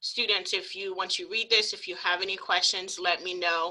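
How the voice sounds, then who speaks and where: In a plain, everyday voice, a woman talks at a moderate pace with a medium pitch and ordinary pitch variation. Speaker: university program coordinator. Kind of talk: program orientation presentation. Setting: video call. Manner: many filler ums.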